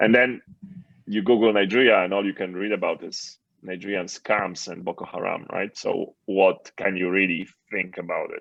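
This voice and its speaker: With a Polish accent, a man speaks at a fairly low pitch and a moderate pace with fairly even intonation. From Poland. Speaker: entrepreneur and author. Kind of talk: interview.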